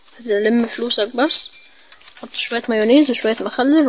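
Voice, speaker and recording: Against noticeable background noise, a man with an Egyptian accent speaks with ordinary pitch variation. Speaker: gaming YouTuber. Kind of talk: gameplay commentary. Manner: fast; animated.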